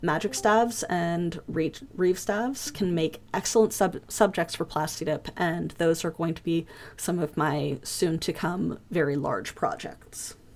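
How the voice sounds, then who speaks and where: A woman talks in an ordinary speaking voice at a fairly low pitch with ordinary pitch variation. Her pace is fairly slow, with hardly any pauses. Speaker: foam craft class teacher. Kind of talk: online class lecture. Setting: voice chat server.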